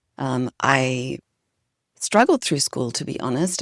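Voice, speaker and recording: Vocal fry marks a woman's very deep, low voice, with a slight Australian accent. She speaks at a fairly slow pace, and the sound is dry and close with no echo. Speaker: leadership consultant and author. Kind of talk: podcast interview.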